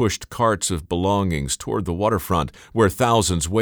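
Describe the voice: This plain reading aloud has pitch that shifts in an ordinary way.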